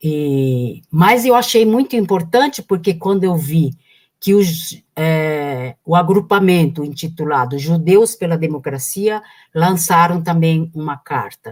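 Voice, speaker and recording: Somewhat breathy, a woman talks at a fairly slow pace. Her voice sits fairly low. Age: 70s. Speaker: political activist. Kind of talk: live stream conversation.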